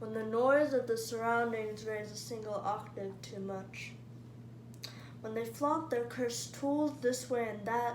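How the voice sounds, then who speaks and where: A woman speaks at a fairly slow pace with a medium pitch and very wide pitch swings, over noticeable background noise. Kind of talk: spoken word poetry performance.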